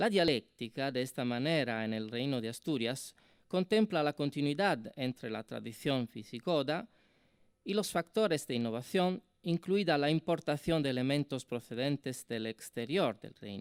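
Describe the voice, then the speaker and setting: A man's fairly high voice with an Italian accent, lively intonation and a moderate pace, on a very clean recording with a silent background and a dry, close sound with no echo. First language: Italian (speaking Spanish). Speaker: university professor, symposium speaker. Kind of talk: academic conference talk. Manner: hesitant with fillers.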